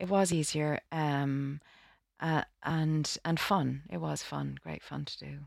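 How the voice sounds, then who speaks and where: In a very clean recording with a silent background, a woman with a Dublin accent speaks at a very slow pace with big swings in loudness. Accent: Dublin Irish. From Ireland, Dublin. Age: 40s. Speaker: actress. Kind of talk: interview. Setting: studio. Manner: halting.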